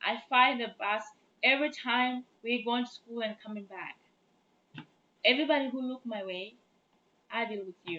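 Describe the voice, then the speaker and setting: A woman in a Chadian accent with a bright, sharp tone, a fairly high pitch, ordinary pitch variation, big swings in loudness, a moderate pace and long, frequent pauses. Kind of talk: casual talk to camera.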